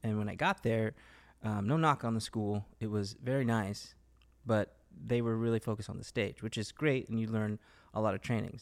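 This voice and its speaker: Talking at a moderate pace, a man with a Southern Californian accent keeps a medium pitch and fairly even intonation. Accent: Southern California American. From Los Angeles, California. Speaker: actor. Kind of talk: casual interview chat.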